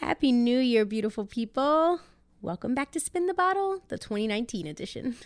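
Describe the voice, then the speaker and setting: Her voice is high, and the woman speaks at a moderate pace. Her pitch swings very widely. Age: 30s. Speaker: podcast co-host. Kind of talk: casual chat.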